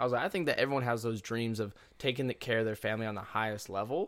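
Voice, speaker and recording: In a very clean recording with a silent background, a man speaks in a plain, everyday voice at a medium pitch with fairly even intonation. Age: 20s. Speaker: gym entrepreneur. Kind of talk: casual chat.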